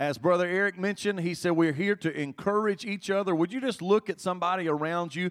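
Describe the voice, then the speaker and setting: The speaker is a man with a high pitch. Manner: intense, impassioned, rising and insistent, with repeated phrases and urgent exhortation.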